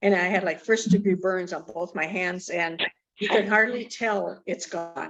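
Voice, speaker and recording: A woman has an unremarkable speaking voice, pitched at a medium level. She talks at a moderate pace with ordinary pitch variation. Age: 60s. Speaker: participant sharing testimonial. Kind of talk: testimony.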